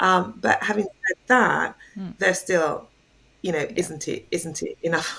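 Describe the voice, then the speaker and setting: Speaking fairly slowly with a London accent, a woman has a bright, sharp tone and ordinary pitch variation. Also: medium pitch for a woman. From England (London), born in Jamaica. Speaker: art curator. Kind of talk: interview.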